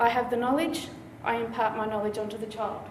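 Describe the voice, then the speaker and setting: An Australian accent comes through with noticeable background noise and audible room echo. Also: woman. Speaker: doctoral candidate. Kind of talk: competition talk. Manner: fast.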